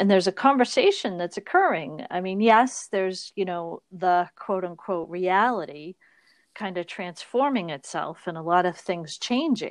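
A woman with a slight Boston accent speaks at a moderate pace and medium pitch with ordinary pitch variation, the sound dry and close with no echo against a quiet background. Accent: barely noticeable Boston. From Boston, US. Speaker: podcast co-host. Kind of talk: casual chat. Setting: remote recording over internet call.

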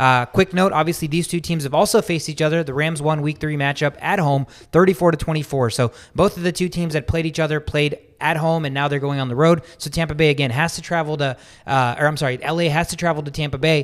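At a fairly quick pace, a man talks in a normal speaking voice with a fairly high pitch and fairly even intonation. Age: 20s. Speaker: sports podcast host. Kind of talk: casual chat.

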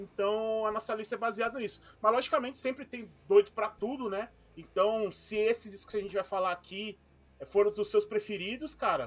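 Here a man speaks in a high voice at a fairly quick pace. His intonation stays fairly even. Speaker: podcast co-host. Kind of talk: casual chat.

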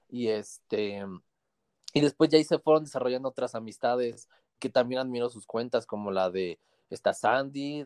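In a dry, close recording with no echo, a man at medium pitch speaks with lively intonation. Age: 20s. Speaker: metro train driver and book influencer. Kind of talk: casual chat.

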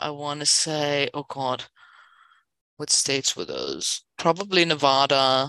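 Speaking very slowly in a German accent, a woman has a very deep, low pitch. Her tone is bright and sharp, with ordinary pitch variation. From Berlin, Germany. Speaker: stand-up comedian. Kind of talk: casual chat.

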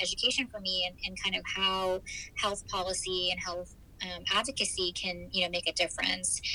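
Someone with an American accent talks at a moderate pace over noticeable background noise. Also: woman. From US Midwest, Michigan. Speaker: fertility doctor. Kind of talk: interview.

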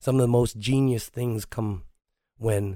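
Somewhat breathy and dark, mellow in tone, a man's voice is heard. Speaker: martial arts instructor and podcast host. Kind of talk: casual monologue.

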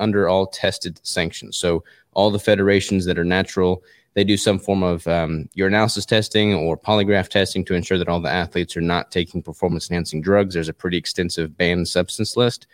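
A man with a very deep, low pitch talks very fast with fairly even intonation. The recording is very clean with a silent background and a dry, close sound with no echo. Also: hardly any pauses. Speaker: natural bodybuilder. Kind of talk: casual interview.

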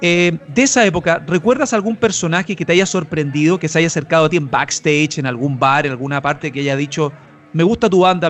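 Speaking at a very fast pace, a man with a Chilean accent uses a fairly high pitch. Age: 30s. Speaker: podcast host. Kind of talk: interview.

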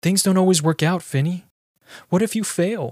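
A man's put-on character voice, high in pitch, very even in loudness, with ordinary pitch variation and a moderate pace. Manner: anxious, cautioning.

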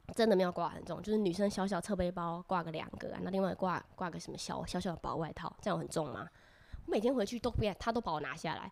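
A woman's medium-pitched voice with vocal fry, ordinary pitch variation and a very fast pace. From Taiwan. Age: 20s. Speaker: former exchange student. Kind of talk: casual chat.

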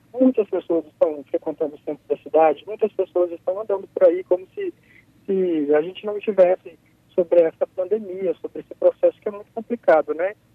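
A high-pitched man at a fairly quick pace, with ordinary pitch variation and big swings in loudness. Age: 30s. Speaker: psychologist, Covid-19 survivor. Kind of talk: live radio interview. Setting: phone call.

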